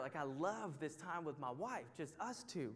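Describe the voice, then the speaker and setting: A fairly high-pitched man with a Texan accent and lively intonation. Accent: Texan American. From Texas, near Houston. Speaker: Bible study teacher. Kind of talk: sermon. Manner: animated.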